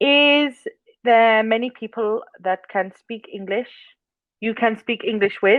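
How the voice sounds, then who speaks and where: A woman's fairly high voice at a very slow pace, with ordinary pitch variation. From England. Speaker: online English tutor. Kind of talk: casual chat.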